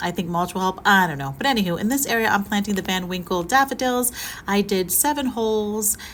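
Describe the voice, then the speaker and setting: With lively intonation at a medium pitch, a woman speaks at a fairly quick pace on a very clean recording with a silent background. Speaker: gardening vlogger. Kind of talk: casual vlog narration. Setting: outdoors in garden. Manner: casual, chatty; shouting over the weather. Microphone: no microphone, may be hard to hear.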